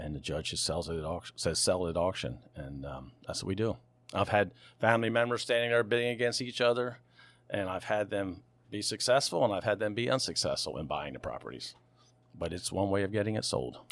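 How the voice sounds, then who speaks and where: On a very clean recording with a silent background, a man with an American accent speaks fairly quickly at a fairly low pitch, his lively intonation touched with vocal fry. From US Mid-Atlantic, Lewes, Delaware. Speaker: auctioneer and real estate broker. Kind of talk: interview conversation.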